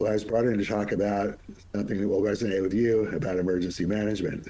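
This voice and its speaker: With audible room echo, a man with a fairly low pitch speaks at a very fast pace in a monotone, flat intonation with very even loudness. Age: 70s. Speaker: monk and politician, former emergency official. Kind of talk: interview.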